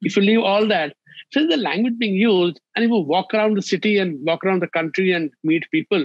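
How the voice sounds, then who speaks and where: Against a quiet background, a man talks at a fairly quick pace with ordinary pitch variation, the sound dry with no echo. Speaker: remote interview guest. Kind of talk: interview answer. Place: home room. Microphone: video call.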